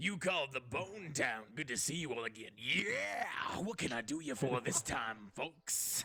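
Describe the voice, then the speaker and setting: In a put-on character voice, a man talks at a moderate pace with hardly any pauses, his pitch in the medium range. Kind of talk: nineties radio-host style. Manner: enthusiastic showman.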